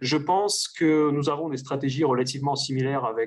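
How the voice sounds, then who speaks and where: With a slight Russian accent, a man speaks at medium pitch with fairly even intonation. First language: Russian (speaking French). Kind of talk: interview conversation. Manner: hesitant, many fillers.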